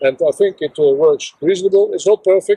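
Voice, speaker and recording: A man's pitch varies in an ordinary way as he talks at a moderate pace, the background quiet. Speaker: hobby tractor owner. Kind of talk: casual vlog chat. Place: open country.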